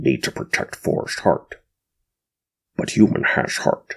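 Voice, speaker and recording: A man speaks at a fairly slow pace. He growls through a put-on character voice. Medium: read story. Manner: clipped broken speech.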